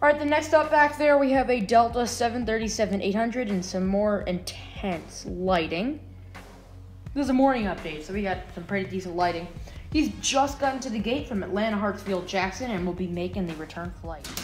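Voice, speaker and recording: A woman at a fairly quick pace, faint music in the background. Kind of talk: commentary. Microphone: phone near.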